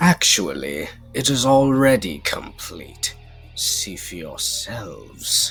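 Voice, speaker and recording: A cartoonish character voice speaks at a very slow pace. Clear music can be heard in the background. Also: man. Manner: smug, theatrical.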